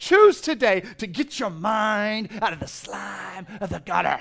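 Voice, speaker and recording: The man uses a normal speaking voice and keeps a moderate pace. His intonation rises and falls in a lively way. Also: quiet background. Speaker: pastor. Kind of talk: sermon, direct exhortation to the congregation. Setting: church stage with congregation. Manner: casual and jokey, with frequent repetitions and fillers.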